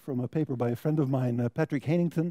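In an American accent, a man talks with a dark, mellow tone, recorded with a dry, close sound and no echo. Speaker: biology researcher. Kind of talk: lecture.

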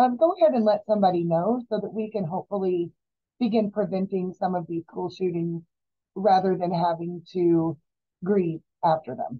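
A woman's speech, with ordinary pitch variation and a moderate pace, sits over a quiet background. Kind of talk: educational talk to the public. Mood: serious, then lighter. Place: office. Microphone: webcam.

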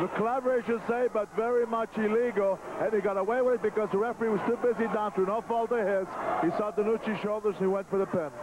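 A man's high-pitched voice at a very fast pace, with very even loudness and noticeable background noise. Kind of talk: wrestling commentary. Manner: excitable, opinionated color commentary with frequent fillers and stumbles.

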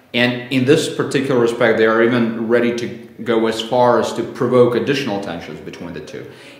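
A man talks at a fairly quick pace with ordinary pitch variation and big swings in loudness, and audible room echo is present. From Belarus. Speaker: think tank director, foreign policy expert; interviewee. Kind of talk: interview. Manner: halting, with fillers and repetitions. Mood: calm, measured. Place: home room.

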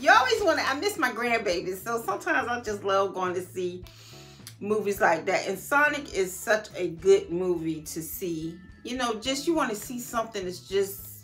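A woman at a moderate pace, faint music in the background. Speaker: style vlogger. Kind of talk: casual vlog chat. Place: home room. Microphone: phone near.

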